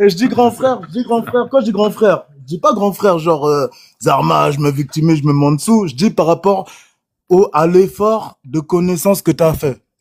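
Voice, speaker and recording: A man with a high pitch and lively intonation. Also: moderate pace. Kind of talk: casual chat. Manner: loud; animated.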